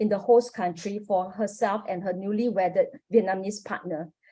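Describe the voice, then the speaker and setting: A woman with a Singaporean accent talks at a fairly quick pace in a somewhat breathy voice with a dark, mellow tone. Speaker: academic researcher, panelist. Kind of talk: academic conference presentation. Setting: online forum. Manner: formal.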